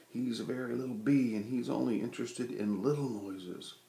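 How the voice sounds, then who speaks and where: A normal speaking voice from a man, medium in pitch, with ordinary pitch variation at a moderate pace. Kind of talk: children's story read aloud, bedtime story.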